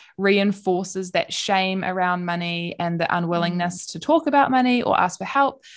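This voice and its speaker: A woman with a New Zealand accent speaks at a moderate pace and medium pitch against a quiet background. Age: 20s. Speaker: PhD student and podcast co-host. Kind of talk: casual chat.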